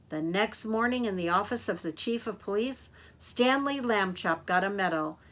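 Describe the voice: Simple, plain reading aloud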